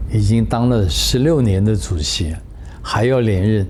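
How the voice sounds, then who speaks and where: Over noticeable background noise, a man speaks fairly slowly in a fairly low pitch with ordinary pitch variation. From Taiwan. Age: 70s. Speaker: former Olympic committee member. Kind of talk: interview answer. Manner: relaxed, talkative.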